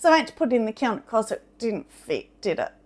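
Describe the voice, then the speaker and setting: A woman speaks loudly and in an animated tone at a moderate pace, her high-pitched voice carrying lively intonation. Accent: Australian. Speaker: potter. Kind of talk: casual chat. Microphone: mic close due to high shirt neck.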